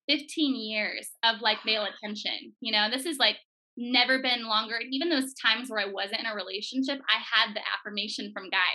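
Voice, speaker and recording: A woman with an American accent, high-pitched, at a fairly quick pace with ordinary pitch variation. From Portland, Oregon. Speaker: social media content creator. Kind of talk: faith testimony interview.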